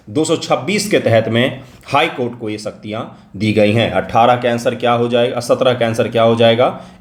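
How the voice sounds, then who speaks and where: A man speaks at a medium pitch and a moderate pace. Audible room echo surrounds his voice. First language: Maithili (speaking Hindi). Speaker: exam coaching teacher. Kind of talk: test solution lecture.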